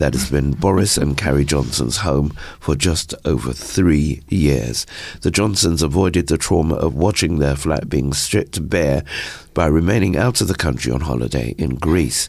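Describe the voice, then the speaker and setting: Very deep and low, this man's voice has vocal fry, very even loudness, and ordinary pitch variation. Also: moderate pace. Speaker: news reader. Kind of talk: news reading and live chat. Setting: radio studio. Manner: formal, measured when reading news.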